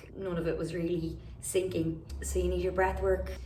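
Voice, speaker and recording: A woman speaks with an Irish accent at a fairly slow pace. Noticeable background noise runs underneath. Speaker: vocal habilitation professional; singer. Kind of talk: casual talk to camera.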